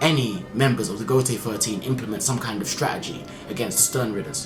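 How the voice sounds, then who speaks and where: Noticeable background noise accompanies a man with a medium pitch. Audible echo from the room surrounds his voice. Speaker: anime manga reviewer. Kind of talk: video review monologue. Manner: fast; casual with fillers.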